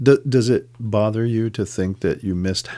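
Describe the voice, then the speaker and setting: In a dark, mellow tone, a man talks at a moderate pace with a fairly low pitch. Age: 60s. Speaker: podcast host interviewing a young relative. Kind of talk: casual chat.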